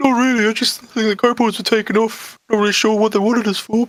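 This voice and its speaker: A put-on character voice rattles along at a very fast pace, monotone and flat in intonation, with very even loudness. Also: man, high pitch for a man. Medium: actual play. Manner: vague, hesitant.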